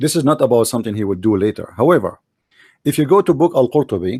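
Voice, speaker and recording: A man with an Arabic accent has a dark, mellow tone, recorded with a dry, close sound and no echo. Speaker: religious debater. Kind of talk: debate.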